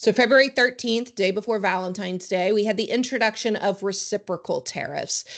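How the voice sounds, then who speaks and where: A woman with a fairly high pitch talks at a fairly quick pace with hardly any pauses. Her intonation is fairly even, and the background is quiet. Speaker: trade compliance consultant presenter. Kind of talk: webinar presentation. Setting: virtual online session. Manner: fast.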